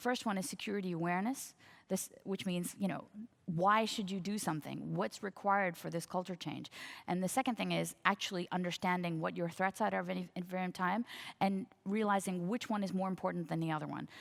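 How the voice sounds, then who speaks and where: A woman talks at a fairly quick pace and medium pitch. Her intonation stays fairly even. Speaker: cybersecurity executive on a conference panel. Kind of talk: conference panel talk. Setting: conference stage with audience. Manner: fast.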